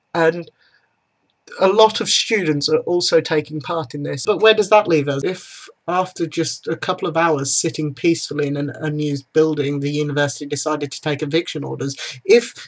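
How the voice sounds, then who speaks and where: The speaker has a British accent and a fairly quick pace. Pitch varies in an ordinary way. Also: man, fairly high pitch for a man. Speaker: student vlogger. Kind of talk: opinion vlog. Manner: subdued.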